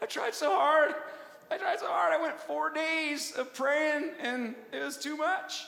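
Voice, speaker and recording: A put-on character voice, high in pitch and very slow in pace, over light background noise. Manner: mocking; whiny, defeated.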